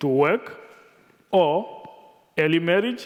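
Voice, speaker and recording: A man with a Tanzanian accent, fairly high in pitch, very slow and lively in intonation. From rural Tanzania. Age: 30s. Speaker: nonprofit director. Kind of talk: reading a speech. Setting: conference stage with audience. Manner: careful, deliberate.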